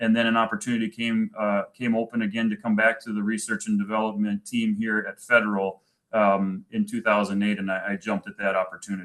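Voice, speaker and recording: With a strong Minnesotan accent, a man talks at a very fast pace with hardly any pauses. His intonation stays monotone and flat. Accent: thick Minnesota. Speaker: manufacturing executive and army veteran. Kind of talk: presentation. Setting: virtual event. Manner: halting, many fillers.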